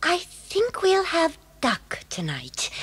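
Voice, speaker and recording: A female-sounding, put-on character voice with a warm tone sits at an extremely high pitch. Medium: audio drama. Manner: warm, motherly.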